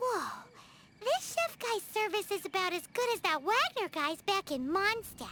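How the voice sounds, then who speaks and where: Pitched extremely high, a put-on character voice talks at a moderate speed. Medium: video game. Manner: wry, casual.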